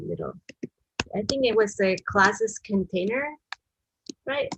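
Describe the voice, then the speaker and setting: Moderate pace and ordinary pitch variation from a woman with a medium-pitched voice. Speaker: web design instructor. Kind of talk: live-streamed coding tutorial. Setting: live stream. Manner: halting, with many fillers.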